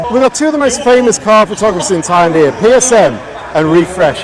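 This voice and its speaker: Over noticeable background noise, the voice moves at a fairly quick pace with very wide pitch swings. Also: man. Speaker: car vlogger. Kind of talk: walkaround commentary. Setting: outdoor car meet. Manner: animated; raised voice over music.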